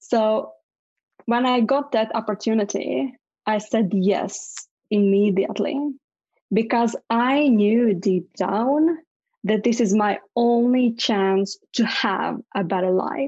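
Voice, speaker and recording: Speaking at a very slow pace with a Latvian accent, a woman has a fairly high pitch, ordinary pitch variation, a somewhat breathy sound and very even loudness. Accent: Latvian (Eastern European) accent in English. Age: 30s. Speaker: public speaker, writer and business coach. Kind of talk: interview, personal life story. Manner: halting, with frequent repetitions.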